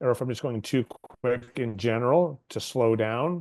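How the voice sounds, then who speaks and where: A man speaks at a moderate pace in an unremarkable speaking voice with ordinary pitch variation. The sound is dry and close, with no echo. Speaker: legal aid staff presenter. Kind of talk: webinar presentation.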